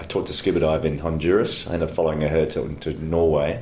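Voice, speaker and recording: A man with an Australian accent and a very deep, low pitch speaks in a monotone, flat intonation, with audible room echo. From Australia (Brisbane, Queensland). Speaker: lawyer. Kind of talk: interview. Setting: office.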